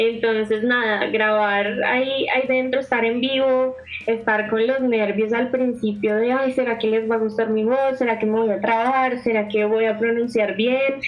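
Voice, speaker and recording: With noticeable background noise and audible room echo, a woman with a fairly high pitch speaks in a monotone, flat intonation at a fairly slow pace, with very even loudness and hardly any pauses. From Colombia, Bogotá. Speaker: university student and radio presenter. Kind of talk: casual interview.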